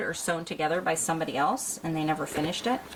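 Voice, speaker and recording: A fairly quick delivery comes through noticeable background noise. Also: woman. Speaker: homeschooling mom vlogger. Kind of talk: casual vlog chat. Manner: animated.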